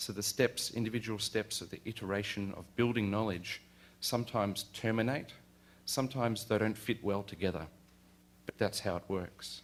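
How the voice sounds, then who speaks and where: Delivered at a moderate pace, a man's fairly low voice carries an Australian accent. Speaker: university lecturer. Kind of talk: lecture. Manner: halting.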